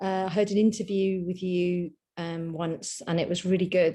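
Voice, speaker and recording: With a London accent, the speaker uses a dark, mellow tone and fairly even intonation. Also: woman. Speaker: workshop participant. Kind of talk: group video call introductions.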